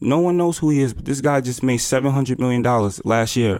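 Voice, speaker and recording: In a plain, everyday voice, a man talks at a fairly quick pace at medium pitch with ordinary pitch variation. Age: 20s. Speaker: entrepreneur, app founder. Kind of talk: interview. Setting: hotel room.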